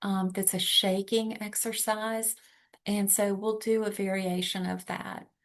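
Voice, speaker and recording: At a very slow pace, a woman speaks in a monotone, flat intonation against a quiet background. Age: 60s. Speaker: workshop leader. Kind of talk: workshop facilitation; guided relaxation exercise. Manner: hesitant, many fillers.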